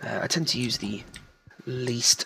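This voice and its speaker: Whispering at a very slow pace, a man keeps his voice quiet. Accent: British. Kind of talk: casual gameplay commentary. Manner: quiet, whispery.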